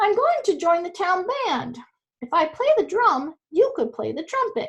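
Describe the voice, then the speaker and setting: A woman's put-on character voice, squeaky and extremely high, with very wide pitch swings at a moderate pace. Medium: read story. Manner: braying "hee-haw" before speaking.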